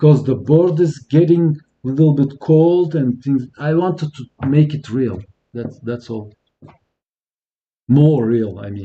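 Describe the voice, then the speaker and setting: A man's fairly high, somewhat breathy voice with a dark, mellow tone and a French accent, fairly slow, with ordinary pitch variation and big swings in loudness. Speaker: electronics repair youtuber. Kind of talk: live stream tutorial. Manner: halting.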